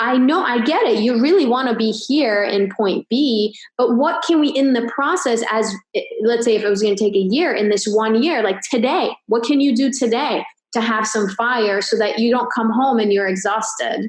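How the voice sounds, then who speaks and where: The speech moves at a moderate pace with very even loudness and ordinary pitch variation. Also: woman, fairly high pitch for a woman. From grew up abroad, moved to the US at 16. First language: not English. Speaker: chiropractor and business coach. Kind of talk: casual podcast interview.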